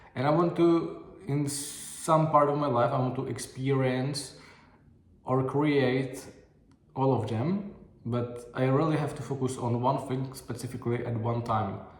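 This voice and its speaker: With a non-native accent, a man of medium pitch talks at a fairly slow pace and fairly even intonation amid audible room echo. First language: not English. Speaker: video diary vlogger. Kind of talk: casual video diary monologue. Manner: halting, many fillers and restarts.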